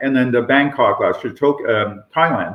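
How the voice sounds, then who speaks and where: Here a man talks with a Canadian accent. His pace is moderate. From Canada. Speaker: professor. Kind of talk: interview.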